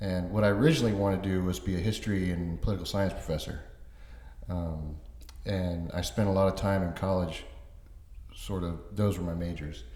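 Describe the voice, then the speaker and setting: A man with an American accent speaks fairly quickly in a very deep, low pitch and dark, mellow tone, with ordinary pitch variation, long, frequent pauses and audible room echo. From Florida, Orlando (born North Carolina). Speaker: author and construction project manager. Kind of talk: interview.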